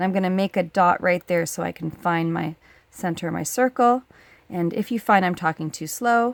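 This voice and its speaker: In a very clean recording with a silent background, a woman with an ordinary speaking voice talks at a moderate pace, at a fairly low pitch and with ordinary pitch variation. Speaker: high school science teacher. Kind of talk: tutorial. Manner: casual, conversational.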